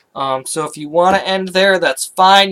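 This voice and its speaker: The sound is dry and close, without echo. A man talks with ordinary pitch variation. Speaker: communication instructor making software tutorials. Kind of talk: tutorial. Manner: hesitant, filler-heavy.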